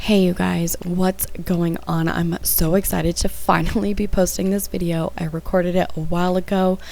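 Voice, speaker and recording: A woman talks with hardly any pauses. Noticeable background noise runs under her voice. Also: moderate pace. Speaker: makeup tutorial creator. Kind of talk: makeup tutorial voice-over.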